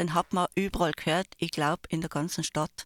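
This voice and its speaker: A woman speaks at a fairly low pitch. The recording is very clean with a silent background, and the sound is dry and close with no echo. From Landeck, Tyrol, Austria. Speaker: radio trainee. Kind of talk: casual radio chat. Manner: animated.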